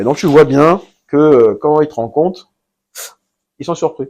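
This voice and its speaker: The pace is moderate. The voice belongs to a man. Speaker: entrepreneur. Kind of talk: interview. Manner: hesitant.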